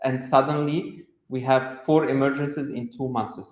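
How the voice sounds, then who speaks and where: There is audible room echo as a man speaks at a fairly slow pace. His medium-pitched voice has monotone, flat intonation. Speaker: medical epidemiologist, conference speaker. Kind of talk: conference presentation. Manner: loud.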